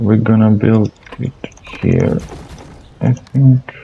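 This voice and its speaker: A man's very slow, monotone, flat delivery against noticeable background noise. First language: not English. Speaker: gaming channel host. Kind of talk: gameplay commentary. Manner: halting, many fillers and repetitions.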